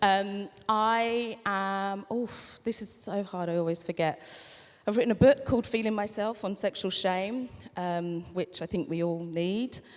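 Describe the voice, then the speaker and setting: In a very clean recording with a silent background, a woman with a normal speaking voice talks at a fairly slow pace and medium pitch, with ordinary pitch variation. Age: 40s. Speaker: author and content creator. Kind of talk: live panel discussion. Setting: stage with audience.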